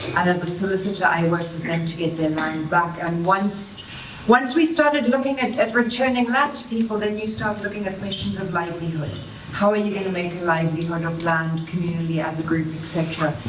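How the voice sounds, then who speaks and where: A woman with a South African accent, fairly low pitch, lively intonation and a fairly quick pace, amid audible room echo and noticeable background noise. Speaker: farmer, environmentalist and lawyer. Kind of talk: short panel talk at a public event. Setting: public event venue with audience.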